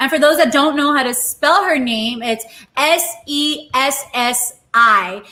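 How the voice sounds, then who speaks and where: In a Spanish accent, a woman with a high pitch speaks at a very slow pace in a raised, projected voice with ordinary pitch variation. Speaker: live-stream cooking show host. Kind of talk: casual chat. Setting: live stream.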